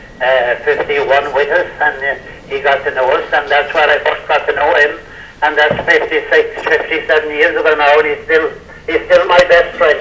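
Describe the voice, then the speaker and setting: A man with an Irish accent at a moderate pace, over noticeable background noise. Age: 80s+. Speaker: former sports team member. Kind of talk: casual chat.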